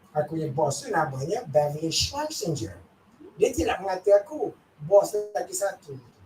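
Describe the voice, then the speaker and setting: The speaker talks at a moderate pace with an animated tone. Noticeable background noise runs underneath. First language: Malay. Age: 70s. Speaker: corporate trainer. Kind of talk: workshop lecture.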